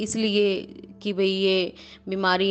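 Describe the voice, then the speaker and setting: A woman speaks with flat, monotone intonation. Her pitch sits in the medium range. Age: 30s. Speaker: doctor and government employee sharing her mental health story. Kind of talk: personal testimony. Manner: halting, many pauses and fillers.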